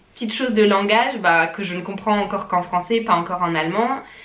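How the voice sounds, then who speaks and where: Over noticeable background noise and audible room echo, a woman speaks at a fairly high pitch and a fairly quick pace. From France. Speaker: vlogger. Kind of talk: casual vlog talk to camera.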